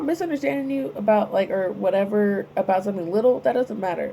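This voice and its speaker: Against noticeable background noise, a woman talks at a fairly quick pace and a medium pitch. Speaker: spiritual channel host. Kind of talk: casual spiritual monologue. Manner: rambling, hesitant with fillers.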